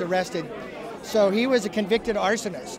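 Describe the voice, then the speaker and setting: Crowd noise fills the background as the speaker, with a Pacific Northwest accent, talks at a fairly quick pace. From Walla Walla, Washington. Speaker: winery owner. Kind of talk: interview. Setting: wine awards event.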